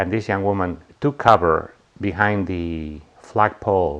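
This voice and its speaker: Against a quiet background, a man speaks in a very deep, low voice. His intonation is fairly even. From Bolivia. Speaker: shooting survivor. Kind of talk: testimony. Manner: halting.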